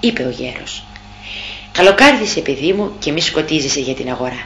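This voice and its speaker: A woman's very deep, low voice with very wide pitch swings and a dramatic tone, at a moderate pace amid noticeable background noise. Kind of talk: audiobook narration, reading a classic tale aloud. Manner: measured, storyteller's pace with a dramatic, expressive tone.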